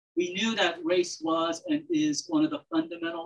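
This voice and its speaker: A woman with a fairly low pitch makes very wide pitch swings against a quiet background. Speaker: panel moderator, professor. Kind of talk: formal introductions at an academic symposium. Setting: stage with audience. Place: hall.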